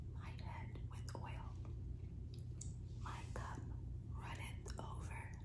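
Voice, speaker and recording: A woman talks very slowly against loud background noise. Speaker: ASMR creator. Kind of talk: scripture reading. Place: home room. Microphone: phone near.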